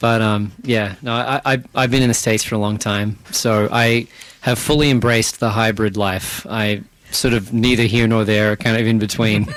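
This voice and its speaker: A man talks at a moderate pace and medium pitch with a slight Australian accent. His intonation is monotone and flat. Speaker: band frontman and singer. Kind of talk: radio interview. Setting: radio studio.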